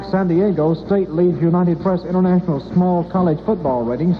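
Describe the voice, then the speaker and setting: High-pitched for a man, this speaker talks at a fairly quick pace with ordinary pitch variation amid noticeable background noise. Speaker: radio newscaster and sports announcer. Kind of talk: radio news and sports report read. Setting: vintage 1967 AM radio broadcast.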